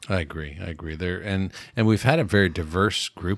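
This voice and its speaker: In a very clean recording with a silent background, a man with a Canadian accent talks at a fairly quick pace with fairly even intonation. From Canada.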